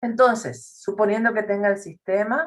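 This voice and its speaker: Her pitch sits at a medium level. The woman speaks at a moderate pace. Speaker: math teacher. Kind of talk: lecture.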